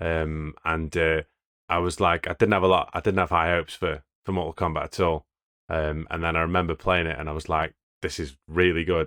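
His voice is very deep and low. This man moves at a fairly quick pace with monotone, flat intonation. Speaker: game podcaster. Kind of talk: casual chat.

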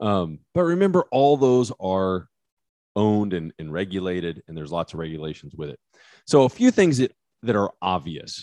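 With an American accent, a man speaks at a moderate pace in a very deep, low voice, his loudness swinging widely. The sound is dry and close with no echo, over a quiet background. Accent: West Texas, comes out when talking hunting. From West Texas. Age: 40s. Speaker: criminal defense attorney, podcast co-host. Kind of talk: casual chat.

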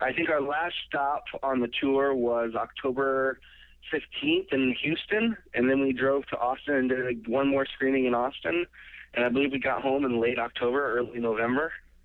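A man with an ordinary speaking voice talks at a moderate pace and medium pitch, with very even loudness and fairly even intonation. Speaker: film director. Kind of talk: interview. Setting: phone call.

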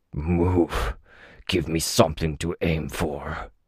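In a put-on character voice, a man growls at a very slow pace with a very deep, low pitch. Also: ordinary pitch variation. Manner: growling, panting.

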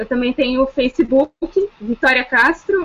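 The speaker is a woman with a high pitch. She uses lively intonation. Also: dry, close sound with no echo. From São Paulo state (Taubaté). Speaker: law student and novice writer. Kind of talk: casual chat.

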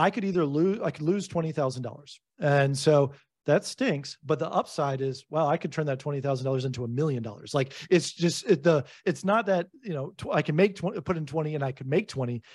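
In a quiet background, a man talks at a fairly quick pace with a fairly high pitch, a somewhat breathy sound and ordinary pitch variation. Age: 40s. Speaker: real estate investor and author. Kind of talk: podcast interview. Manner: halting, frequent repetitions and fillers.

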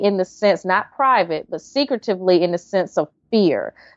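A woman speaks in a North Carolina accent at a medium pitch. Her pace is moderate. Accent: Southern US (North Carolina). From US South, North Carolina. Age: 30s. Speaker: writer and HIV awareness speaker. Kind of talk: interview, casual chat.

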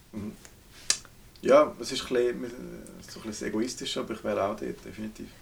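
A man with a Swiss accent at a moderate pace, with long, frequent pauses and noticeable background noise. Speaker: podcast co-host. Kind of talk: casual chat. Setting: indoors in a remote cabin.

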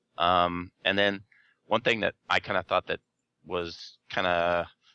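A man's fairly low-pitched voice. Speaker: podcast co-host and writer. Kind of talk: casual chat.

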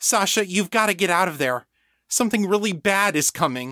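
A man speaks at a fairly quick clip in a high-pitched, put-on character voice. The sound is dry and close, with no echo.

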